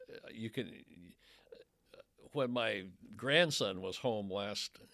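A man speaks at a medium pitch with ordinary pitch variation and a bright, sharp tone. The recording is very clean, with a silent background. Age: 70s. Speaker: newspaper reporter. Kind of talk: casual interview. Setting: studio. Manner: hesitant, filler-heavy.

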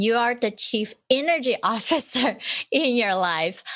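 With a non-native accent and an enthusiastic tone, a woman speaks in a high voice at a fairly slow pace on a very clean recording with a silent background. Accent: foreign-accented English. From immigrant, raised in New Jersey and New York. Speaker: podcast host, physician assistant and coach. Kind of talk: interview conversation.

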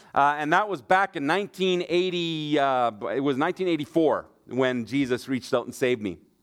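Ordinary pitch variation and a fairly quick pace in a normal speaking voice. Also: man, fairly high pitch for a man. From Germany and Manitoba, Canada (missionary kid). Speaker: Bible college leader, guest preacher. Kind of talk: sermon. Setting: church.

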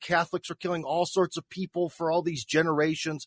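With a Midwestern accent, a man speaks fairly quickly in a high voice, the sound dry and close with no echo against a quiet background. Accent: American Midwestern. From US Midwest (Cleveland, Ohio). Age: 40s. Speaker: radio host and YouTuber. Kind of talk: interview.

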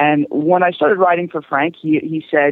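Speaking at a fairly quick pace, the man has a fairly high pitch and a plain, everyday voice. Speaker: show jumping rider and trainer. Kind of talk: interview.

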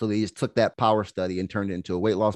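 The speaker's tone is animated, the sound dry and close with no echo, and the background quiet. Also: man. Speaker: health coach and podcaster. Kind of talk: casual interview conversation. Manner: animated, conversational, with filler words.

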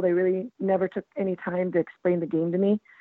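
Here a woman with an unremarkable speaking voice talks at a fairly quick pace in a medium pitch. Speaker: football fan. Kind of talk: casual chat. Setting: phone call.

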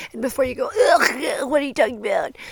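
A woman's voice swings very widely in pitch. The recording is very clean, with a silent background. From Texas.

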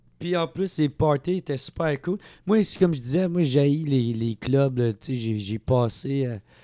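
Speaking at a very slow pace with lively intonation, a man with a fairly high pitch and a dark, mellow tone comes through on a very clean recording with a silent background and a dry, close sound with no echo. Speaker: comedian. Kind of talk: casual chat.

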